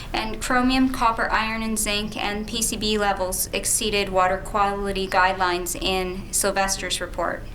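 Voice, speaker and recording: A soft-spoken woman with a medium pitch and fairly even intonation speaks at a moderate pace amid noticeable background noise and audible room echo. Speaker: lawyer. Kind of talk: cross-examination.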